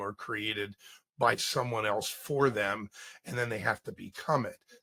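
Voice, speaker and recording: A man's bright, sharp tone with vocal fry at a fairly slow pace, in a dry, close sound with no echo. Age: 70s. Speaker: branding consultant. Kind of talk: interview.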